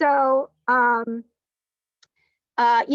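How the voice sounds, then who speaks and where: A woman with a Long Island accent speaks fairly slowly in a high pitch. The sound is dry and close, with no echo. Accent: Long Island New York. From Long Island, New York. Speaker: sommelier and winery manager. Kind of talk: virtual guided wine tasting presentation. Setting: video call, outdoors on a patio. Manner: halting, many fillers and restarts.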